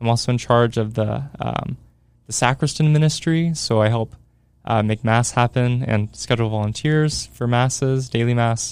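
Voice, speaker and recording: A man speaks in a normal speaking voice at a moderate pace, medium in pitch, with fairly even intonation and very even loudness. The recording is very clean, with a silent background. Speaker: theology student, sacred music enthusiast. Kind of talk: casual interview chat. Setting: studio.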